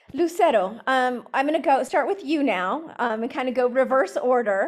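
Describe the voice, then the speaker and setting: With an American accent, a woman speaks at a fairly slow pace in a high pitch, her intonation lively. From New Mexico. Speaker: university program director, moderator. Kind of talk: panel moderation.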